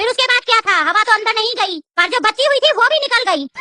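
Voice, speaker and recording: A cartoonish, female-sounding character voice races along at a very fast pace in an extremely high pitch. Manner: insolent, taunting.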